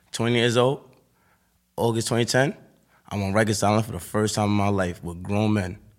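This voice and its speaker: With music in the background, a man with a fairly low pitch speaks at a fairly quick pace with fairly even intonation and long, frequent pauses. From Harlem, New York City. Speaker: rapper. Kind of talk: interview.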